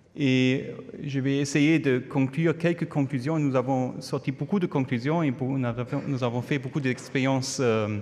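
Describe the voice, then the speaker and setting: Using fairly even intonation, a man with a German accent and medium pitch speaks at a moderate pace. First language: German (speaking French). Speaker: epidemiology professor. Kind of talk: conference talk. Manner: hesitant, non-fluent French.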